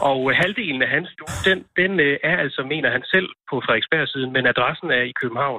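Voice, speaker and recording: Talking at a moderate pace, a man uses a fairly high pitch with ordinary variation. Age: 30s. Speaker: local politician. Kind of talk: phone interview. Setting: phone call. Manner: halting.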